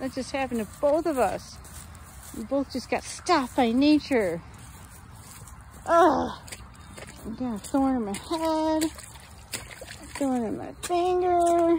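A woman's high, lively voice at a very slow pace, with long, frequent pauses, a dry sound with no echo, and light background noise. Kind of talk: casual vlog chat. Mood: playful, pained by thorns. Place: forest. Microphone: phone near.

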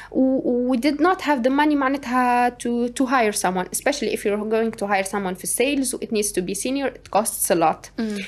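Pitched high, a woman races along at a very fast pace with lively intonation and hardly any pauses. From Tunisia. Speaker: startup co-founder; guest. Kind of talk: interview. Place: studio. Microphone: studio mic.

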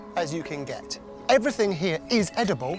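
Clear music plays in the background. Over a dry sound with no echo, a man talks at a fairly quick pace. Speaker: presenter. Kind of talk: tutorial. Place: garden. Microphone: lapel.

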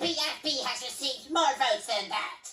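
A female-sounding voice, high in pitch, performs a put-on character voice at a moderate pace. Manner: shrill, bossy.

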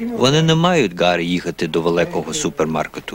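A man speaking at a fairly slow pace with lively intonation, over noticeable background noise. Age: old. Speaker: corner store owner. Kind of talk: documentary narration.

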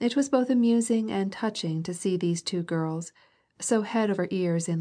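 Someone reads in a natural voice, the pitch varying in an ordinary way.

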